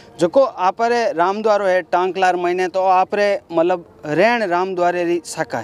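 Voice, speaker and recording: Music plays in the background of a dry, close recording with no echo. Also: man. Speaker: interviewer. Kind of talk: interview questions.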